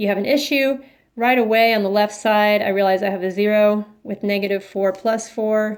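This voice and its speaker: A woman with a normal speaking voice talks at a moderate pace and fairly high pitch, her intonation fairly even, in a very clean recording with a silent background. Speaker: math teacher. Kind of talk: tutorial.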